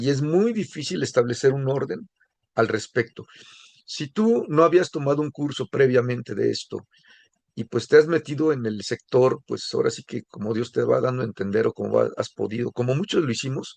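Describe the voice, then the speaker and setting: A man talks at a moderate pace and medium pitch, with lively intonation, in an ordinary speaking voice. The sound is dry and close, with no echo. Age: 60s. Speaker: course instructor. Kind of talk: lecture. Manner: casual, conversational.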